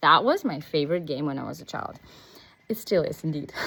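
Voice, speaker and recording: Speech pours out at a very fast pace with lively intonation and a Russian accent. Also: woman. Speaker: business coach. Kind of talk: casual vlog monologue. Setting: outdoors, walking.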